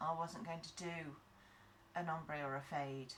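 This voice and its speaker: The woman's pitch is very deep and low, heard against noticeable background noise. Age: 40s. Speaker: nail tech tutorial creator. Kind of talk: tutorial. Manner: casual, chatty.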